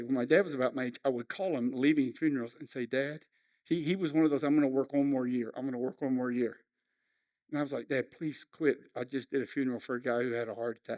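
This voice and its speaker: At a fairly quick pace, a man talks in a fairly high pitch with ordinary pitch variation. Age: 60s. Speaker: pastor. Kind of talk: sermon.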